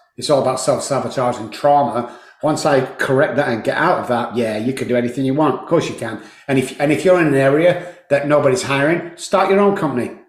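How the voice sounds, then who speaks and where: Over noticeable background noise and audible room echo, a man talks very fast at a fairly high pitch. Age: 60s. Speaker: addiction recovery expert. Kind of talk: interview. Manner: animated.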